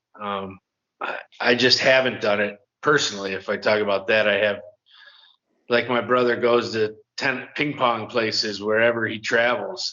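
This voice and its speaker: This man talks at a moderate pace in an ordinary speaking voice, medium in pitch with fairly even intonation. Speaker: podcast co-host discussing relocation. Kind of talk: casual chat.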